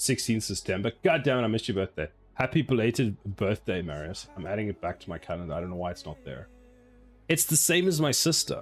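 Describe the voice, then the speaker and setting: Music plays behind a man with a fairly low pitch who talks at a very fast pace in an animated tone, his pitch swinging very widely and his loudness shifting a lot. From South Africa. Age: 40s. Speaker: game developer streamer. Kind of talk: live stream chat while coding.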